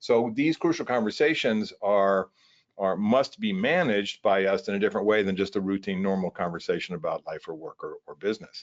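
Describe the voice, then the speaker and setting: This is an ordinary speaking voice, moving at a fairly quick pace with lively intonation. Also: man, fairly low pitch for a man. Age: 60s. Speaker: workplace trainer. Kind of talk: webinar presentation. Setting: online webinar. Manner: casual with many fillers.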